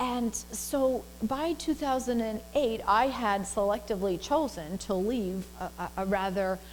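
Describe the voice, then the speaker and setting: Ordinary pitch variation in an unremarkable speaking voice. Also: woman. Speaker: minister, spiritual center staff minister. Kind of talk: sermon-style talk to congregation, personal anecdote.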